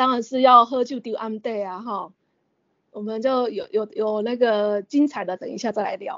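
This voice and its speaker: A woman with a normal speaking voice and fairly high pitch keeps her intonation fairly even at a moderate pace, though her loudness swings a lot. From Taiwan, Kaohsiung countryside (Renwu). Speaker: opera enthusiast and teacher. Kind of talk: interview.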